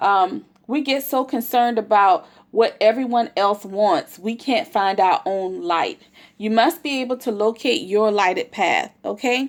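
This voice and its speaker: A woman's fairly high voice with lively intonation, in a very clean recording with a silent background. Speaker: motivational speaker. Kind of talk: motivational talk. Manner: fast.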